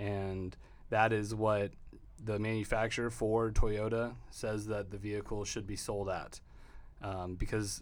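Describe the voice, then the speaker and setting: A man speaks in a flat monotone with an American accent. His fairly low voice carries an audible room echo. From Texas. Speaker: car dealership owner. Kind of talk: interview.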